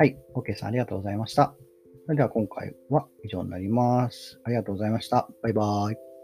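A man talks at a very fast pace, with ordinary pitch variation and big swings in loudness. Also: medium pitch for a man. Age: 30s. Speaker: podcast host and graduate student. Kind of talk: solo casual talk.

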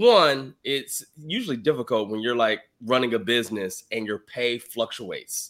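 Recorded very cleanly against a silent background, a man with an ordinary speaking voice talks at medium pitch and a moderate pace, with ordinary pitch variation. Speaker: podcast host and financial coach. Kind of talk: casual chat.

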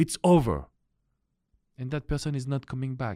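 The sound is dry and close, with no echo. A man with a French accent speaks at a fairly quick pace. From France. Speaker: relationship coach. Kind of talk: coaching video monologue.

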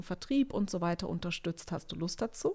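This is a woman speaking. Her pace is moderate. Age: 30s. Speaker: business founding consultant. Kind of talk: interview. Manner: hesitant, many filler sounds.

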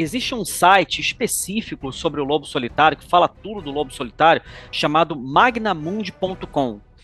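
The man's fairly high voice has a bright, sharp tone. He speaks at a moderate pace with lively intonation. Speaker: podcast host. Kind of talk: casual chat.

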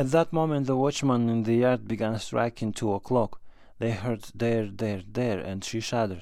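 A man with a dark, mellow tone and a dramatic delivery speaks at a moderate pace in a medium pitch with ordinary pitch variation, recorded very cleanly against a silent background. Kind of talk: scripted narration. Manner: measured, dramatic storytelling with a narrator's even pacing.

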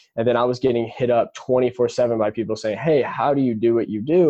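With an American accent, a man speaks at medium pitch. His intonation stays fairly even. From US Midwest, Indianapolis, Indiana. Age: 20s. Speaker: young entrepreneur. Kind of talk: podcast interview. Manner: fast, filler-heavy.

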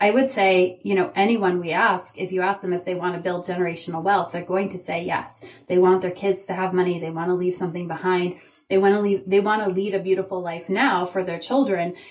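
The speaker has a plain, everyday voice. Intonation stays fairly even. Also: woman, medium pitch for a woman, fairly quick pace. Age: 40s. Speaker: leadership coach. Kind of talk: interview.

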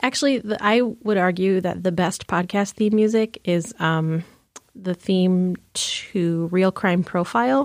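An ordinary speaking voice goes at a fairly slow pace with ordinary pitch variation and very even loudness. The recording is very clean, with a silent background. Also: woman, medium pitch for a woman. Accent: American. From lower Michigan. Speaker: movie theater manager. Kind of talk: casual interview chat.

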